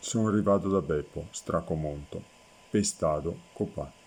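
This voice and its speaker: At a very slow pace, a man speaks with a dark, mellow tone and ordinary pitch variation. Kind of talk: dialect poetry reading.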